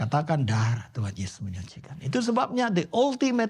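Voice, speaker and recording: With very wide pitch swings, a somewhat breathy man talks at a moderate pace and a fairly high pitch. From Indonesia, Surabaya (East Java). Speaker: pastor. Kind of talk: sermon. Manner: animated.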